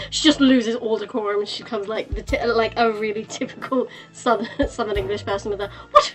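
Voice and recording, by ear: The pitch moves in an ordinary way. A speaker reads aloud in a natural voice.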